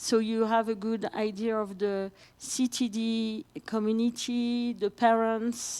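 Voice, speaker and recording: Here a woman speaks with a French accent at a fairly high pitch. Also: very clean recording, silent background. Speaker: patient advocate and parent. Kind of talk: conference presentation. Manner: halting.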